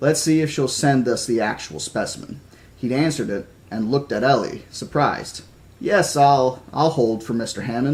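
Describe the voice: Ordinary pitch variation in a plain read-aloud delivery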